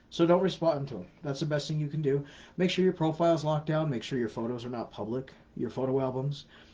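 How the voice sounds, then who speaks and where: A man talks at a very fast pace in a fairly high, somewhat breathy voice. His tone is dark and mellow, with ordinary pitch variation. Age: 40s. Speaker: scam awareness educator. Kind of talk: live Q&A answering viewer questions. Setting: live stream on social media. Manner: casual, repetitive emphatic advice.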